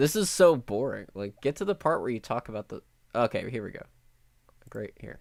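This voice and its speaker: A man with vocal fry speaks at a fairly quick pace and a medium pitch, with very wide pitch swings and long, frequent pauses. The sound is dry and close with no echo, in a very clean recording with a silent background. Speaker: streamer. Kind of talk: live stream commentary. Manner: casual, profane.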